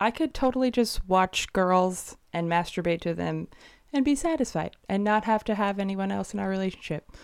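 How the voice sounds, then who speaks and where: A woman's normal speaking voice, medium in pitch, with lively intonation at a moderate pace on a very clean recording with a silent background. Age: 20s. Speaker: guest, wife. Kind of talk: casual interview chat.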